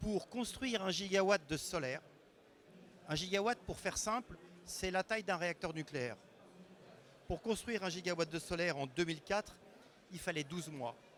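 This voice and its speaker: A man speaks at a fairly slow pace, his voice high. His intonation is lively. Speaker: renewable energy expert. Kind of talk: conference talk. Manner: hesitant, with fillers.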